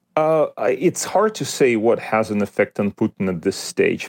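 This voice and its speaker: A man speaks at a moderate pace with a Russian accent. His pitch varies in an ordinary way. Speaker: history professor. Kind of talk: interview. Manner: halting, many fillers and repetitions.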